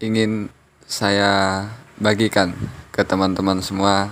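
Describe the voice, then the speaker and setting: Delivery is very slow, and the intonation stays monotone and flat. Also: man. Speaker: short story writer and reader. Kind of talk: casual introduction. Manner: flat intonation.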